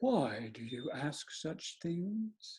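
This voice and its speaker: A put-on character voice at a middle pitch with very wide pitch swings. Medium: read story. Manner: coaxing, sly.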